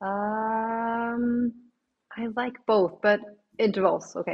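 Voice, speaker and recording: A woman with a Swedish accent, fairly high in pitch, at a very slow pace with fairly even intonation. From Sweden. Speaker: obstacle course racer. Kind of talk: interview.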